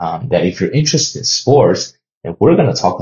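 A somewhat breathy voice with a Chinese accent at a moderate pace. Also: man. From China. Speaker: podcast host and sports journalist. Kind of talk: solo podcast monologue.

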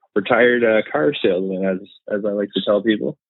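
The voice carries a slight Canadian accent and moves at a moderate pace. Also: man. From Canada, eastern Ontario (Renfrew, west of Ottawa). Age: 30s. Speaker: car enthusiast, social media account owner. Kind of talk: casual interview. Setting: phone call.

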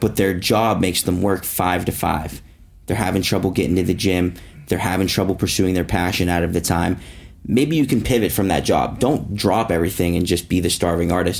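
A man speaks at a fairly quick pace in a very deep, low voice. His loudness stays very even, and his pitch moves in an ordinary way. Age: 20s. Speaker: podcast co-host. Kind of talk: casual chat.

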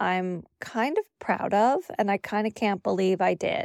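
A normal speaking voice belongs to this woman, who talks at a fairly slow pace in a medium pitch. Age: 50s. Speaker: podcast host and life coach. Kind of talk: casual monologue.

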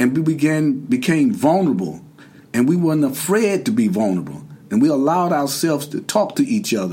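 A man talks at a fairly quick pace in a fairly high voice, his pitch swinging very widely over noticeable background noise. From US South, Durham, North Carolina. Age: 60s. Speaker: formerly incarcerated man sharing his experience. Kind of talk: interview.

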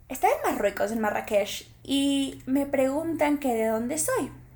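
Over noticeable background noise, a woman speaks in an animated tone with a high voice. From Ecuador. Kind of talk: personal monologue.

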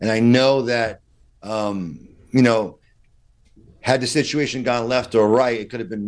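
A man with a New York accent at medium pitch and a moderate pace, with ordinary pitch variation, in a quiet background. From Brooklyn, New York. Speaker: defense attorney. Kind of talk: interview. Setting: video call.

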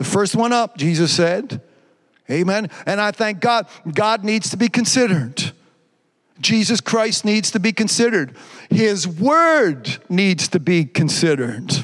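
High male pitch with very wide pitch swings and very even loudness. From Quebec. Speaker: pastor. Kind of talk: live-streamed Pentecostal-style sermon, exhortation with scripture teaching. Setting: church service, live stream. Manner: repetitive restarts and stumbles, builds in intensity.

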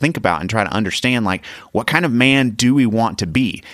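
A man speaks at medium pitch with vocal fry. The recording is very clean, with a silent background. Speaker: podcast host and dad. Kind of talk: casual family chat.

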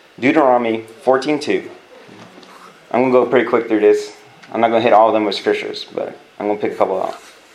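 A man with an American accent at a very fast pace with long, frequent pauses, amid audible room echo and noticeable background noise. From California. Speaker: youth pastor. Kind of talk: sermon. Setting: church. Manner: animated.

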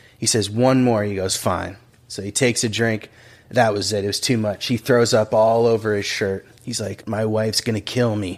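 An ordinary speaking voice belongs to this man, pitched fairly low. He keeps a moderate pace with fairly even intonation. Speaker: podcast host. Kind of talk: casual interview.

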